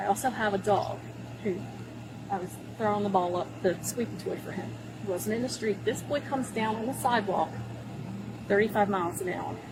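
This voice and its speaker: With an American accent, a woman talks at a fairly quick pace broken by long, frequent pauses, over noticeable background noise. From Baltimore, US. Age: 60s. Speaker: driver questioned by police. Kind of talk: police encounter. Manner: animated.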